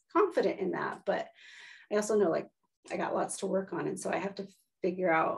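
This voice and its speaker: A woman speaks at a fairly quick pace. She leaves long, frequent pauses. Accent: American. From Washington state, US. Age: 40s. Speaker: interview guest. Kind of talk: casual chat. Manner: fast.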